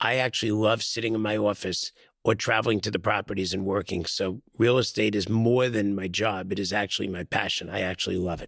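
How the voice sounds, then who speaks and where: A man's fairly low voice, fairly quick and with hardly any pauses, his intonation fairly even, on a very clean recording with a silent background. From New York. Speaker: real estate executive. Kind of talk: podcast interview.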